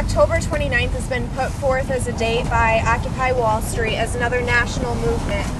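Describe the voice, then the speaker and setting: Room echo is audible and background noise is noticeable while a woman talks fairly quickly. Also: hardly any pauses. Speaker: protest organizer. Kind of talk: public meeting facilitation. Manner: loud.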